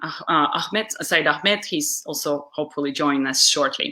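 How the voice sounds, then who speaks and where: With a Russian accent, the speaker's bright, sharp tone moves along at a moderate pace. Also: woman. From Uzbekistan. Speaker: public speaker and webcast host. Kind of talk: live webcast interview. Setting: live video stream.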